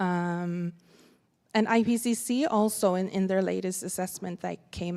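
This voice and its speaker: A woman speaks with a Sami accent at a medium pitch. Her pace is moderate and her intonation fairly even. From Sapmi (northern Scandinavia). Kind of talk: conference panel talk. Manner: halting, with many fillers and repetitions.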